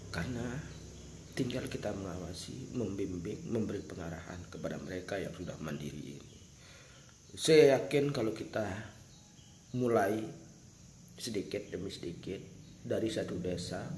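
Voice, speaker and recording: In a room with audible echo, a somewhat breathy man talks at a moderate pace with long, frequent pauses. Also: fairly low pitch for a man. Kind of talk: spoken address to viewers. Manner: earnest, emphatic.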